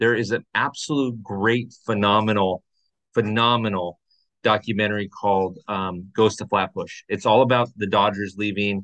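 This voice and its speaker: Here is a man with an unremarkable speaking voice at a fairly low pitch. He talks at a moderate pace. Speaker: podcast host, Dodgers fan. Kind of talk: casual chat.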